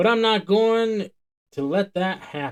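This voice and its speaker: This man uses a put-on character voice, high in pitch and drawling. His pace is fairly slow. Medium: read story. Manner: slow drawl, sincere and commanding.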